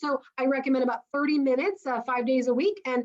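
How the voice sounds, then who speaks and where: A woman speaks with a high pitch. Her pace is fairly quick. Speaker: chiropractor. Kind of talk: health talk presentation. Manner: fast.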